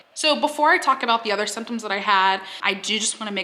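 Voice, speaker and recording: Backed by music, a woman talks at a medium pitch and moderate pace. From Texas. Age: 20s. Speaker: YouTuber. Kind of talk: casual talk to camera.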